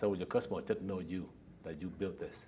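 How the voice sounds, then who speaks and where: In a Vietnamese accent, a man speaks in a somewhat breathy voice. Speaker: company founder and executive. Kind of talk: interview. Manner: halting.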